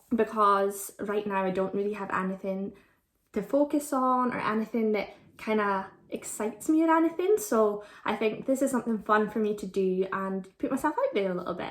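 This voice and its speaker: A woman talks with an Aberdeen accent. Her pitch is fairly high and her pace moderate. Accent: Scottish (Aberdeen). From Scotland, Aberdeen. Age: 20s. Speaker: vlogger. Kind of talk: casual Q&A vlog.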